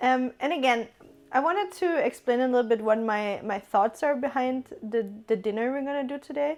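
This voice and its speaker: With a German accent, a woman speaks at a fairly slow pace in a fairly high pitch with ordinary pitch variation, on a very clean recording with a silent background. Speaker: streamer. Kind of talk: cooking stream chat.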